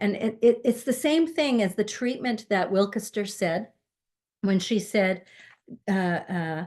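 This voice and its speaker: Against a quiet background, a woman with an ordinary speaking voice talks at a fairly slow pace and medium pitch, her intonation lively. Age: 60s. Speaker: minister. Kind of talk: sermon.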